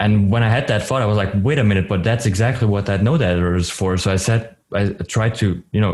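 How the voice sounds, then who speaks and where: A man's fairly low, somewhat breathy voice at a very fast pace with hardly any pauses, on a very clean recording with a silent background. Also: ordinary pitch variation. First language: not English or German. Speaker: 3D artist and streamer. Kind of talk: casual podcast interview. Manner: halting, many restarts.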